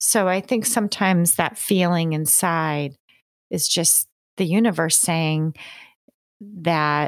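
A woman with a Northeastern US accent, fairly low pitch, ordinary pitch variation. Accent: American (Northeast). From rural New York State, US. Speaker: psychology professor and author. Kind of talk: interview.

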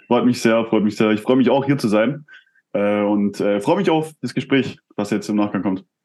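At a moderate pace, a man talks with a medium pitch. His pitch variation is ordinary. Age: 20s. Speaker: entrepreneur and performance coach. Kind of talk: casual interview. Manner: hesitant, many fillers.

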